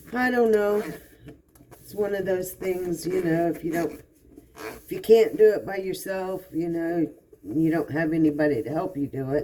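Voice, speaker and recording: A normal speaking voice from a woman, fairly low in pitch, at a moderate pace, with ordinary pitch variation and big swings in loudness. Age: 60s. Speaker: vlogger. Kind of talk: casual monologue. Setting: home kitchen, doing dishes. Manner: relaxed, conversational.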